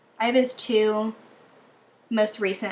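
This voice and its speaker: Noticeable noise fills the background as a woman talks rather slowly. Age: 20s. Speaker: beauty vlogger. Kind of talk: casual chat. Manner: rambling chatty.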